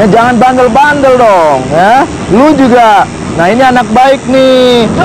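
A dry sound with no echo amid noticeable background noise. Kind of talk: acted monologue, casual street slang. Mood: rambling, mock-lecturing. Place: street.

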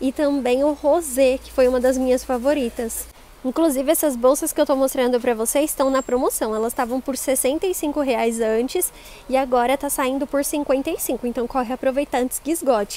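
At a moderate pace, a woman speaks in a high pitch, with a dry sound and no echo. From Brazil. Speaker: shopping vlogger and bag reviewer. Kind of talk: street seller pitch, upbeat promotional patter showing bags and prices. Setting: in a shopping mall store, filming a vlog. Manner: animated, bubbly. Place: shop. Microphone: phone near.

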